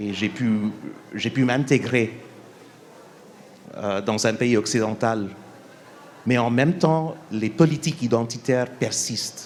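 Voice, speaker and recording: At a very slow pace with long, frequent pauses, a man speaks at a medium pitch with ordinary pitch variation. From India. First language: English (speaking French). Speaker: documentary filmmaker, panelist. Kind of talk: panel discussion. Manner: halting, many hesitations; calm, measured.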